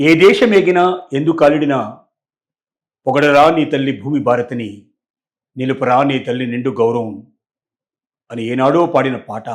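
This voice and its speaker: A man speaks at a medium pitch with ordinary pitch variation. He has an unremarkable speaking voice. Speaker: news analyst. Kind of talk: commentary talk to camera.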